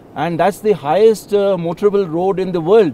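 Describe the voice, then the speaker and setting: A man's dark, mellow voice at a moderate pace with fairly even intonation, in a dry sound with no echo over light background noise. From India. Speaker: army general. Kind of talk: interview. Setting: outdoors. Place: waterside.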